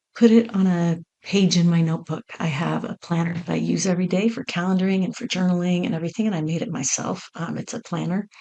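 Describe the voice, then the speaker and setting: Fairly quick and somewhat breathy, a woman speaks at a fairly low pitch with a dark, mellow tone. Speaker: podcast host. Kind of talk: casual solo podcast monologue. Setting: home recording on laptop. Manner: unscripted, conversational. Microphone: mic plugged into laptop.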